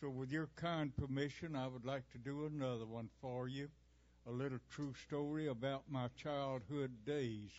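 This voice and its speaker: This man has a Southern US accent and talks at a moderate pace. His intonation stays fairly even. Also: medium pitch for a man. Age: 90s. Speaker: performer, recitation artist. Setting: stage with live audience.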